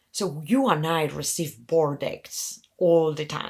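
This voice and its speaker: A woman speaks with a Spanish accent. Her pitch is fairly low, with ordinary variation. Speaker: venture capital investor. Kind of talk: interview conversation.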